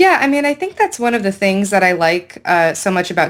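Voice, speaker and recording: A woman speaks with a Californian accent. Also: very clean recording, silent background. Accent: Californian American English. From US West Coast, San Francisco Bay Area. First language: Hindi. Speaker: esports host. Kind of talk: interview.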